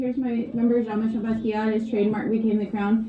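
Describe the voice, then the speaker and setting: A woman with a fairly high pitch is heard over noticeable background noise, with audible room echo. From Hawaii. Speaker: art teacher. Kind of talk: art lesson for children.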